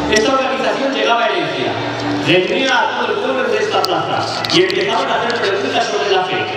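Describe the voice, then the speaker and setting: A man speaking at a fairly quick pace amid loud background noise and audible room echo. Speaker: town festival proclaimer (pregonero). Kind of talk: festival proclamation speech with humorous history. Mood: humorous, ironic storytelling. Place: stage.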